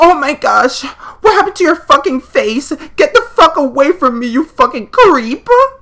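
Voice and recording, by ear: A man does a put-on character voice, extremely high-pitched with a bright, sharp tone. His pitch swings widely at a moderate pace.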